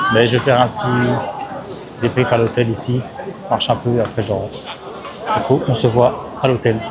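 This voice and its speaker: A man at a medium pitch talks at a moderate pace with fairly even intonation and long, frequent pauses, amid crowd noise and audible room echo. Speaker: travel vlogger. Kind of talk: casual vlog. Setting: outdoors; airport. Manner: loud.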